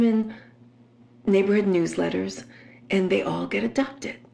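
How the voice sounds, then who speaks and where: Background noise is clearly noticeable as a woman talks. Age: 60s. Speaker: podcaster. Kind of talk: casual monologue.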